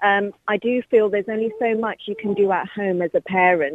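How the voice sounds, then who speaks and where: A woman with an English accent and fairly even intonation. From England. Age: young. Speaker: caller. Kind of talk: radio phone-in.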